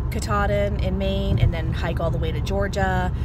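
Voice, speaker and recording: Loud background noise fills this dry recording, which has no echo. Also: woman. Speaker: hiker vlogger. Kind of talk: casual vlog chat. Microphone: phone near.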